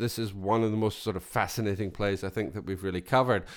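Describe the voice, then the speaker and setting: A man with a Scottish accent speaks on a very clean recording with a silent background. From Scotland. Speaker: podcast co-host. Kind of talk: casual chat.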